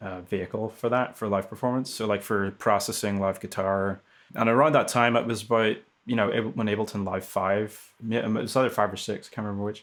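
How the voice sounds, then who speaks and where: With a Northern Irish accent, a man speaks at a fairly quick pace and fairly low pitch with fairly even intonation, recorded very cleanly against a silent background. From Northern Ireland. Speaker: music technologist and producer. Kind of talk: casual interview chat. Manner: hesitant, many fillers.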